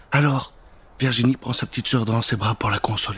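A man speaks at a fairly quick pace with a medium pitch and fairly even intonation. His tone is fairly bright, with a husky, rough edge.

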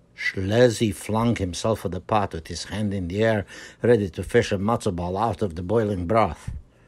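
What you hear is an unforced reading voice.

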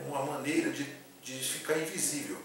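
Strong room echo and noticeable background noise surround a man speaking at a moderate pace. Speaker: film reviewer. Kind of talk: casual film review. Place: home room. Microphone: camera far.

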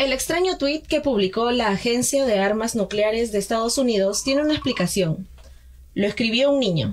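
A woman with a fairly high pitch talks at a moderate pace in a plain, everyday voice, her loudness very even. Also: lively intonation. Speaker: student radio host, news reader. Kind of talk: news reading and radio hosting. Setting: radio studio.

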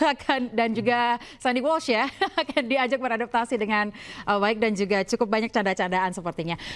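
Using a plain, everyday voice, a woman talks at a fairly quick pace with a fairly high pitch and ordinary pitch variation. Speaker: TV news anchor. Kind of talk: news interview. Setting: studio. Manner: formal.

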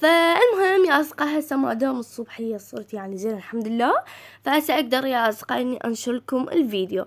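In an Iraqi accent, a woman speaks with a high pitch. Her pitch swings very widely. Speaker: gaming YouTuber. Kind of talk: casual game news commentary. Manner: halting, frequent self-corrections.

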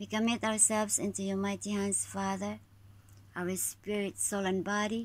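The woman talks at a fairly slow pace. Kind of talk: spoken prayer. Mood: calm, devout, thankful. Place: home room. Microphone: phone near.

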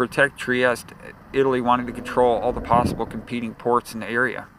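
A man's medium-pitched voice at a fairly quick pace, with noticeable background noise. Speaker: audiobook narrator. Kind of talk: audiobook reading of a history text. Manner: steady, formal, measured delivery; slightly halting, with occasional stumbles and repeats.

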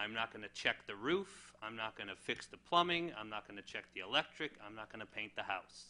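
A man with an American accent speaks at a fairly quick pace with hardly any pauses, his pitch fairly low and his intonation lively. His tone is bright and sharp, and his loudness swings widely. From Connecticut. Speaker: mayoral candidate; candidate. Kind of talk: candidate forum speech. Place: meeting room. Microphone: podium.

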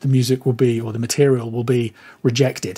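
The speaker talks at a fairly quick pace with a British accent. The tone is dark, mellow and somewhat breathy. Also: man. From United Kingdom. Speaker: mastering engineer. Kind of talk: interview conversation. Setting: remote call.

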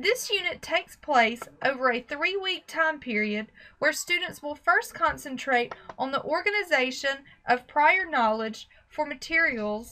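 In an American accent, a woman with a high pitch and a bright, sharp tone uses a raised, projected voice, swinging very widely in pitch at a fairly slow pace. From US South, Alabama. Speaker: teacher. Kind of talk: scripted narration.

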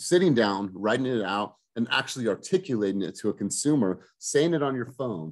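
Pitch swings very widely against a quiet background. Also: man. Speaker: team coach. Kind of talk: coaching talk. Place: home room. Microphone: video call.

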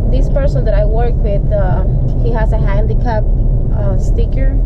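A woman talks at a moderate pace. Loud noise fills the background. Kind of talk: casual vlog chat. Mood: frustrated storytelling. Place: car. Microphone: phone near.

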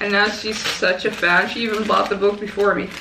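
A raspy, medium-pitched woman's voice with audible room echo

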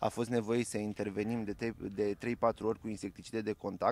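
A man with an unremarkable speaking voice and medium pitch talks at a moderate pace, the sound dry with no echo. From Romania. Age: 20s. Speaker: farmer and agronomist; interviewee. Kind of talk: interview. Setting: outdoors on a farm field. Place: farm machine. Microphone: handheld.

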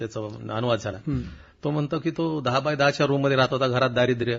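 This is a man with a medium-pitched voice. He sounds somewhat breathy. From Marathwada, Maharashtra (Nanded district). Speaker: writer. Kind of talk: interview. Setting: radio studio.

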